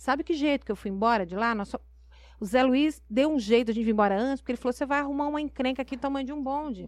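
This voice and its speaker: Against a quiet background, a woman with a high pitch talks at a very fast pace with ordinary pitch variation. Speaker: mayor. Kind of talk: interview.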